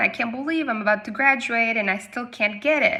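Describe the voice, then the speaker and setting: A woman at a moderate pace, fairly high in pitch, with a Spanish accent. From Argentina, Patagonia. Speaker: English teacher. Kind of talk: personal testimony. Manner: casual, with frequent hesitations.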